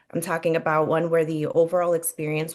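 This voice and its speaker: A woman with a Spanish accent speaks at a fairly low pitch and a moderate pace, her intonation monotone and flat, against a quiet background. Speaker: real estate agent. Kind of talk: webinar presentation.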